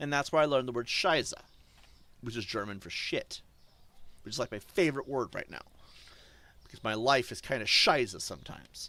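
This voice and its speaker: A man's medium-pitched voice with an American accent and a bright, sharp tone, with ordinary pitch variation, big swings in loudness, and long, frequent pauses. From US, New Hampshire. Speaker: gaming streamer. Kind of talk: live stream commentary. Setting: live stream. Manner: casual, rambling with fillers.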